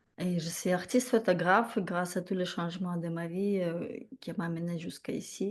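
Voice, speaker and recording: A woman's fairly low voice in a Ukrainian accent, with fairly even intonation. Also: quiet background. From Ukraine, Odessa. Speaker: photographer, program participant. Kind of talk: testimony.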